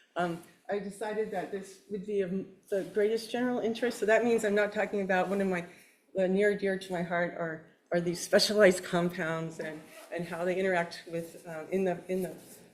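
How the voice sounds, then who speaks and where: A woman's medium-pitched voice at a fairly quick pace, fairly even in intonation, with audible room echo. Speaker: plant science professor. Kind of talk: lecture.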